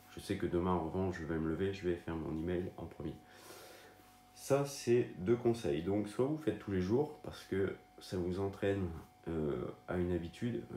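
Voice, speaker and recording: A man's very deep, low voice broken by long, frequent pauses. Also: lively intonation, moderate pace. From northern France. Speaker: online marketing content creator. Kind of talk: casual video tutorial. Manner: hesitant, many fillers.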